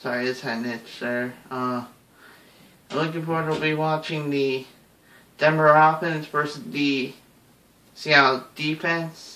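There is audible room echo as a man talks at a fairly slow pace, leaving long, frequent pauses. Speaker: sports vlogger. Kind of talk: casual vlog prediction. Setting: at home, someone sleeping. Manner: hushed, moderate volume; hesitant, many fillers. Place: home room. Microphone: webcam.

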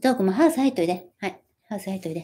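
A woman's dark, mellow tone at a very fast pace, with lively intonation. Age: 40s. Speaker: YouTuber and former magazine model; livestream host. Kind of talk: casual live stream chat. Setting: home live stream. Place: home room. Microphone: phone near.

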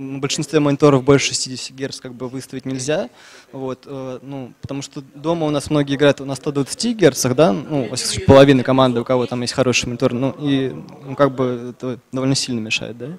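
A man talks at a moderate pace with fairly even intonation. His loudness swings widely, and there is light background noise. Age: 20s. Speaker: esports player, tournament winner. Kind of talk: interview; interview answer. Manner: hesitant, many filler words. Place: hall. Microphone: handheld.

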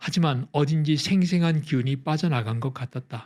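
This man speaks at a moderate pace and sounds somewhat breathy. The recording is very clean, with a silent background. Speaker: audiobook narrator. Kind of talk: scripted audiobook narration, essay read aloud. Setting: studio recording, ASMR sleep audio.

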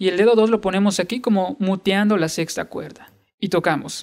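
Over faint background music, a man talks at a high pitch for a man with fairly even intonation. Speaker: guitar teacher. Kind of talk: tutorial. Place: home room.

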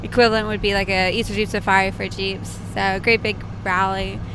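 A woman talks at a very fast pace in a dry sound with no echo, with noticeable background noise behind her. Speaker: podcast guest. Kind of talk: interview answer. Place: car. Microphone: handheld.

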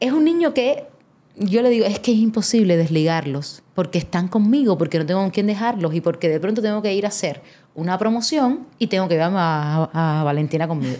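Speaking very fast, a woman has a dark, mellow tone at a medium pitch. Her pitch swings very widely while her loudness stays very even. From Cuba, Havana. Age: 30s. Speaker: actress and theatre creator. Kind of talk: casual interview chat.

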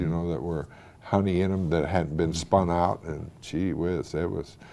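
A man with an American accent speaks in a very deep, low voice with a dark, mellow tone. His intonation stays fairly even over light background noise. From Wadsworth, Ohio; Ohio. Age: 60s. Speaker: former mayor; interviewee. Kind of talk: oral history interview. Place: studio.

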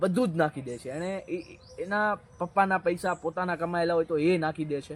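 The man's high pitch shows ordinary variation. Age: 20s. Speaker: anchor and motivational speaker. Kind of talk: interview.

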